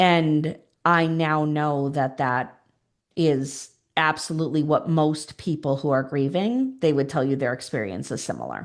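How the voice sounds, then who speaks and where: Against a quiet background, a woman with a very deep, low pitch speaks at a fairly slow pace with ordinary pitch variation. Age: 40s. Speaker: grief consultant and public speaker, former teacher. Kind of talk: podcast interview.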